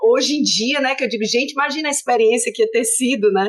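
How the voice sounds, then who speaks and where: A woman speaks with a Fortaleza accent. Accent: Northeastern Brazilian (Fortaleza). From Brazil, Fortaleza (Northeast). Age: 50s. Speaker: political science professor. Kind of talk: interview conversation.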